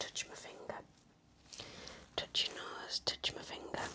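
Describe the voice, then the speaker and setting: A woman whispers in a gentle tone at a very slow pace. Noticeable background noise runs behind her. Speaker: ASMR nurse roleplay performer. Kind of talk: ASMR medical roleplay, nurse talking to the listener. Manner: soft-spoken, gentle, reassuring.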